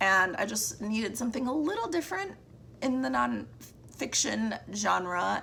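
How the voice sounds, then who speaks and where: A woman's voice over noticeable background noise. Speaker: book reviewer. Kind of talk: casual monthly book wrap-up. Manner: casual, with fillers and restarts.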